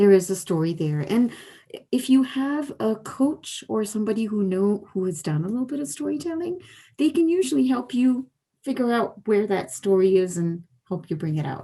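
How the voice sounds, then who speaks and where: Her tone dark and mellow, a woman speaks at a moderate pace and a medium pitch, with very wide pitch swings. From India. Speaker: storyteller. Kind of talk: interview. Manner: loud; animated.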